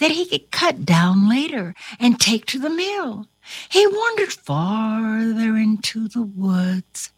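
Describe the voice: Here the text is given as plain reading aloud.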